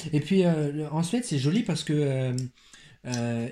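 Somewhat breathy and dark, mellow in tone, this man's voice sits at a fairly high pitch with ordinary pitch variation. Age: 20s. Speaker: teacher and podcast co-host. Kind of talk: casual chat.

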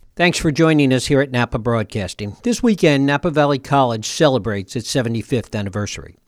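A man speaks at a very fast pace with hardly any pauses. His medium pitch carries lively intonation. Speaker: college radio host. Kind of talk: interview. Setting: studio.

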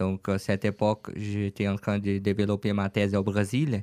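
A man with a Brazilian accent is heard in a dry, close sound with no echo. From Brazil, Franca (São Paulo state). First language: Portuguese (speaking French). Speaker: online shop owner. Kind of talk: radio interview. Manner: halting.

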